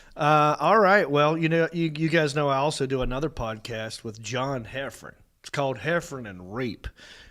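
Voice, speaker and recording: A man's fairly high-pitched voice in a Southern US accent, with lively intonation, big swings in loudness, and a moderate pace, on a very clean recording with a silent background. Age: 40s. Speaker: comedian and podcast host. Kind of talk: casual chat. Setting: studio.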